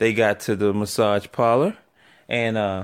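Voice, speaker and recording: Speaking at a fairly slow pace with a New York accent, a man is heard on a very clean recording with a silent background. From New York City. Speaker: podcast host. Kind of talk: casual chat.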